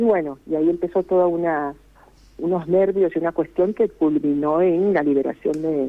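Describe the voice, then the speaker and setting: A woman with a fairly low pitch speaks at a very even loudness, with ordinary pitch variation. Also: moderate pace. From Costa Rica. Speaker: singer. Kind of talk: interview.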